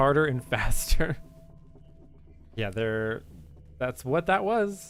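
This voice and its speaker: Very slow speech from a man with a fairly high pitch and very wide pitch swings, long, frequent pauses and music in the background. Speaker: gaming streamer. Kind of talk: live gameplay stream chat. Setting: live stream. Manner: soft-spoken.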